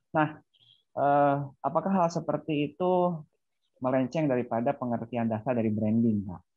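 A man speaks at a moderate pace with ordinary pitch variation. The background is quiet and the sound is dry, with no echo. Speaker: small business owner. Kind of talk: Q&A question. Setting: video call. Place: home room. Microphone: earbuds.

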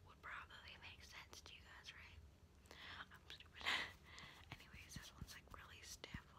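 A woman talks at a fairly slow pace through loud background noise. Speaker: ASMR creator. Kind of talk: ASMR brush video, casual talk to camera. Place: home room. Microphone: phone near.

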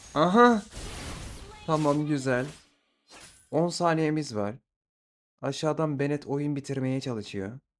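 A fairly high-pitched male voice with lively intonation at a very slow pace, broken by long, frequent pauses. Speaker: gaming streamer. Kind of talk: live gameplay commentary. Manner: animated.

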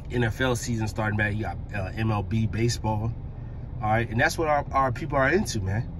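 Against noticeable background noise, a man speaks at a moderate pace with ordinary pitch variation, the sound dry with no echo. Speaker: driver preaching. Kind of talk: religious commentary. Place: car. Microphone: phone near.

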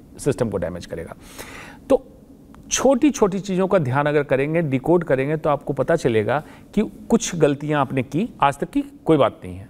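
At a fairly slow pace, a man with a fairly high pitch and vocal fry makes very wide pitch swings and big swings in loudness. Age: 50s. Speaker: oncologist; guest. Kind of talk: interview. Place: studio. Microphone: lapel.

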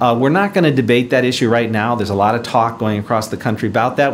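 With ordinary pitch variation, a man talks at a very fast pace. There is light noise in the background. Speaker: presenter. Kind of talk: lecture. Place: hall. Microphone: podium.

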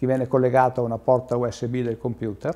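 A man talks in a dark, mellow tone. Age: 40s. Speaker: wheelchair user explaining assistive tech. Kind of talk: informal explanation. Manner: halting, many fillers. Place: home room.

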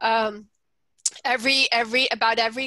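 A woman speaks at a fairly quick pace in a fairly high pitch, with a bright, sharp tone and monotone, flat intonation. The sound is dry with no echo over a quiet background. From Colombia. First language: Spanish. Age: 40s. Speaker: nonprofit policy manager. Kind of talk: webinar presentation. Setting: video call. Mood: earnest, warm.

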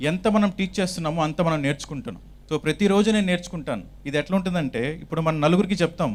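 This man's voice sits high in pitch, with ordinary variation in its rise and fall. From Chittoor, Andhra Pradesh, India. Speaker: meditation teacher. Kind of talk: testimony.

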